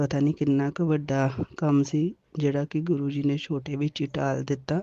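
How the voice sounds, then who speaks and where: A woman with a very deep, low pitch speaks in a monotone, flat way, with a dry, close sound and no echo. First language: Punjabi (speaking Hindi). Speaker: devotee sharing a testimony. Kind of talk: devotional testimony.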